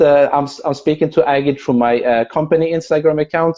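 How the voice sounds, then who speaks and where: With a Persian accent, a man speaks at a fairly quick pace and a fairly high pitch, his dark, mellow tone carrying fairly even intonation. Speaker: video and content creator. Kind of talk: casual chat. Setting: video call.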